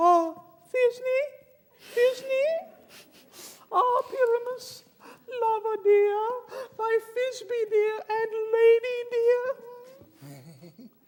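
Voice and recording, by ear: A put-on character voice sounds female and sits at an extremely high pitch. It moves at a very slow pace.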